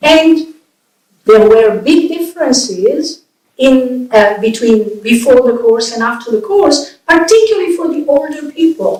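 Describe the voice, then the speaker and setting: A woman's high voice with an Italian accent, lively intonation, and a fairly slow pace. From Italy. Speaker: professor and bilingualism researcher. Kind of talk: public lecture.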